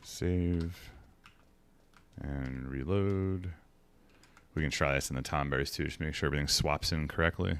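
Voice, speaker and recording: A man mumbles at a very deep, low pitch and a moderate pace. His intonation stays fairly even, broken by long, frequent pauses. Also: very clean recording, silent background. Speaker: video game streamer. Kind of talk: gameplay stream commentary. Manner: mumbling to himself.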